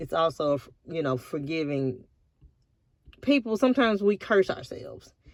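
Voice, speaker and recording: A woman with a Southern US accent keeps a moderate pace as she talks. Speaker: vlogger. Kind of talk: casual vlog monologue. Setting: in a car at a park by the river. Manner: relaxed.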